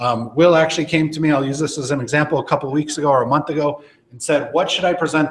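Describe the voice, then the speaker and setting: At a very fast pace, a man with a fairly high, somewhat breathy voice talks with fairly even intonation and big swings in loudness. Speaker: database professional presenting at user group. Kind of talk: presentation to live audience.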